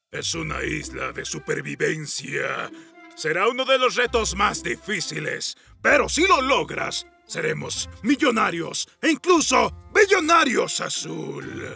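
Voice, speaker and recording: Over faint music in the background, a man does a put-on character voice at a fairly slow pace. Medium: machinima. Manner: bossy, confident.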